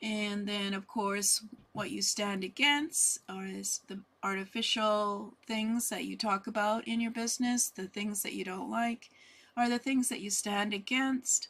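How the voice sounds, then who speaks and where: Soft-spoken and fairly high-pitched, a woman talks at a fairly slow pace with fairly even intonation. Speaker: business coach. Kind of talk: online workshop talk. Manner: halting with fillers.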